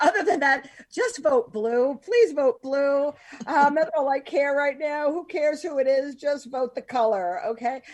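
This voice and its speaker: A loud woman with an American accent speaks at a high pitch. She goes at a fairly slow pace with lively intonation. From Philadelphia. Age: 50s. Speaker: podcast host. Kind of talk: casual chat. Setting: podcast.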